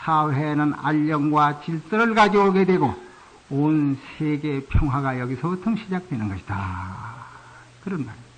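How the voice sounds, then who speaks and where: A man speaks at a fairly slow pace with a somewhat breathy voice and very wide pitch swings. His loudness rises and falls a lot, and there is audible room echo. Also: fairly high pitch for a man. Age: 60s. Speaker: Buddhist monk. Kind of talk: sermon.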